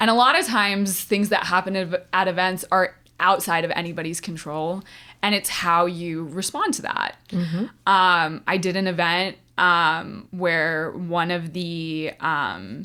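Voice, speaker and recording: Her tone bright and sharp, a woman talks at a fairly slow pace with a fairly low pitch. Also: ordinary pitch variation, very clean recording, silent background. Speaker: non-profit auctioneer. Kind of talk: interview answer. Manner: lighthearted, conversational.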